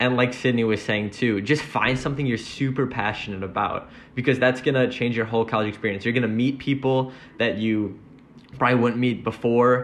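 Speaking at a fairly quick pace, a man uses an ordinary speaking voice. He has an American accent and fairly even intonation. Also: medium pitch for a man. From Wisconsin, US Midwest. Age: young. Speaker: college freshman. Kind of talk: testimony.

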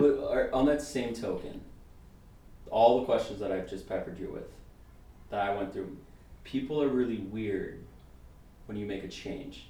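At a moderate pace, a dark, mellow, somewhat breathy voice with ordinary pitch variation speaks amid audible room echo, leaving long, frequent pauses. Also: man. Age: 20s. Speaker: podcast guest. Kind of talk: casual chat. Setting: studio. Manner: animated.

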